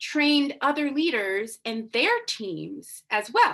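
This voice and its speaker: With an American accent, a woman speaks at a high pitch in a bright, sharp tone, her pitch swinging very widely. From Massachusetts, US. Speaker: business coach and podcast host. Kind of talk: coaching talk from a recorded live video. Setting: livestream. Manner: animated.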